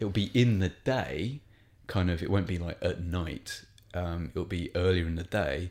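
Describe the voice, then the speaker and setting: A man with a very deep, low pitch and an English accent, ordinary pitch variation, on a very clean recording with a silent background. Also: moderate pace. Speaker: stand-up comedian. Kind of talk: casual chat. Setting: studio.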